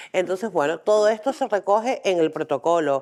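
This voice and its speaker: A woman talks at a moderate pace in a Canarian accent. The recording is very clean, with a silent background. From Canary Islands, Tenerife. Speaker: intersex rights activist, parent. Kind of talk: conference talk. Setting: training day lecture with audience.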